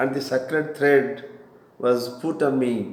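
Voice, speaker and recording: With an Indian accent, a man talks at a very slow pace in a medium pitch with ordinary pitch variation, amid noticeable background noise and audible room echo. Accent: Indian English (Odia). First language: Odia. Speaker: spiritual teacher. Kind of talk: lecture. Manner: halting.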